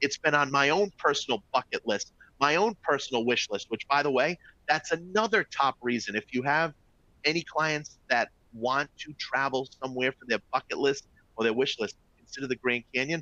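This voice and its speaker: A man with a Boston accent speaks in an animated, bright, sharp tone at a fairly high pitch with ordinary pitch variation. The sound is dry and close, with no echo. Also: moderate pace. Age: 40s. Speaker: travel company executive. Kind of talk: webinar presentation. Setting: live online webinar.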